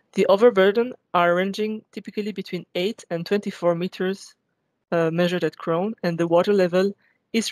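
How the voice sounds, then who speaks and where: Against a quiet background, a woman speaks at a moderate pace with fairly even intonation, the sound dry with no echo. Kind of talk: technical presentation. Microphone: webcam.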